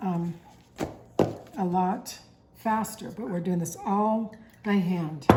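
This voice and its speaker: With audible room echo and noticeable background noise, a woman speaks very slowly at medium pitch with ordinary pitch variation. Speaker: cooking channel host. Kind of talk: cooking tutorial.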